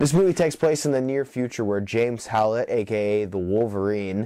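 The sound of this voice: A man talks with lively intonation at a medium pitch. His tone is dark and mellow.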